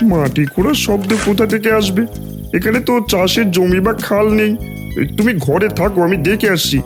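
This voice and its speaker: Over loud music in the background, a man does a high-pitched cartoonish character voice at a moderate pace. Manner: blustering, rough.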